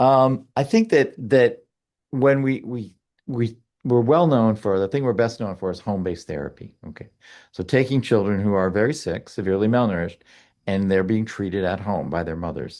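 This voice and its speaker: A man talks at a moderate pace in a fairly low pitch with lively intonation and a normal speaking voice. The background is quiet. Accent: American. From United States. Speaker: pediatrics professor and malnutrition expert. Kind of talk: podcast interview.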